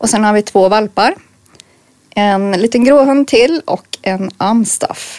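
Delivered very slowly, the words carry ordinary rises and falls in pitch. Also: woman, fairly high pitch for a woman. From Örebro, central Sweden. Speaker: hunter and youth leader. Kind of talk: casual interview.

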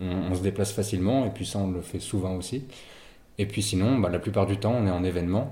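A man's somewhat breathy, dark, mellow voice at a very fast pace, with fairly even intonation and audible room echo. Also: fairly low pitch for a man. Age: 21. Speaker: student entrepreneur. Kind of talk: interview. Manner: halting.

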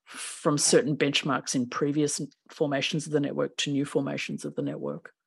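The speaker has an Australian accent and talks at a moderate pace. The background is quiet. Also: woman. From Australia, Melbourne. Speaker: professor. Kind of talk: interview.

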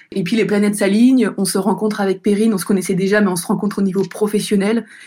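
The recording is very clean, with a silent background. In it, a woman talks very fast. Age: 30s. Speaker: entrepreneur. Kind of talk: testimony.

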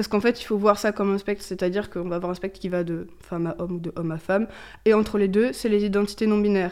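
Her pitch medium and her intonation fairly even, a woman speaks at a very fast pace. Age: 20s. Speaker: LGBT+ youth association co-president, gender studies student. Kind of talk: interview. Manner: hesitant, many fillers.

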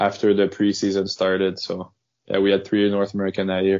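This man speaks with a French Canadian accent. His pitch is fairly low. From Quebec, Canada. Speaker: professional hockey player. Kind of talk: casual interview.

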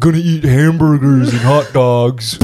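It is a put-on character voice at a low-to-middle pitch. The pace is moderate. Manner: exaggerated, mocking.

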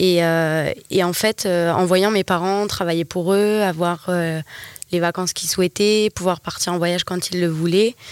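A woman speaks at a moderate pace with a fairly low pitch and monotone, flat intonation. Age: 20s. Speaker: entrepreneur, wellness center manager. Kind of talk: casual interview.

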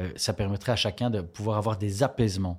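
Somewhat breathy and dark, mellow in tone, a man speaks at a fairly low pitch and a moderate pace with ordinary pitch variation. The recording is very clean, with a silent background. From Belgium, Charleroi. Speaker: politician and lawyer. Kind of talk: interview.

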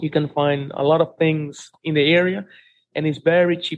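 The voice is a man's. He speaks with a Spanish accent. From Dominican Republic, Santiago. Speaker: relocation and tourism business owner. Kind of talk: interview.

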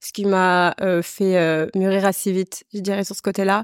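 The speech moves at a fairly slow pace in a monotone, flat intonation. The sound is dry and close, with no echo. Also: woman. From western France (La Rochelle, Vendée). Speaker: artistic director and entrepreneur. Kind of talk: casual interview.

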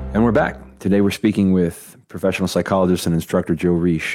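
With music in the background, a man speaks in a very deep, low pitch with fairly even intonation. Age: 30s. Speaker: podcast host, academic. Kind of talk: interview. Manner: halting, many fillers.

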